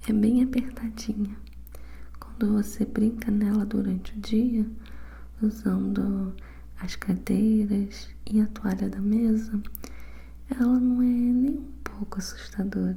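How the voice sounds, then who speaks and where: A soft-spoken, whispering woman at a very slow pace, with long, frequent pauses. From Brazil. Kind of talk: ASMR book reading, bedtime story. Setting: binaural ASMR recording.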